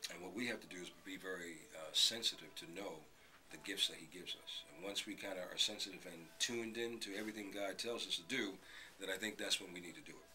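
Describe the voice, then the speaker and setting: A man's fairly low voice at a fairly quick pace, with ordinary pitch variation, big swings in loudness and noticeable background noise. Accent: American. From Brooklyn, New York City. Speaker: radio host. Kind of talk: interview.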